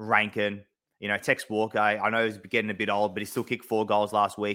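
With an Australian accent, a man with a fairly low pitch and a bright, sharp tone talks at a moderate pace on a very clean recording with a silent background. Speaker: AFL fan podcast co-host. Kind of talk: casual sports chat. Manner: halting, many fillers.

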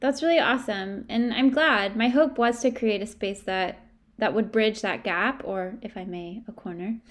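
A woman's fairly high voice, an ordinary speaking voice, at a moderate pace with ordinary pitch variation and big swings in loudness. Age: 20s. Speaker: podcast co-host, college student. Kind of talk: casual chat.

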